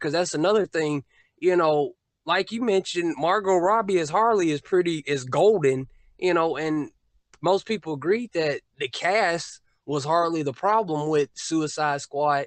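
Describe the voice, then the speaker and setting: This man has an unremarkable speaking voice, pitched fairly high for a man. He talks at a moderate pace with ordinary pitch variation. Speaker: YouTube film commentator. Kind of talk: casual podcast discussion.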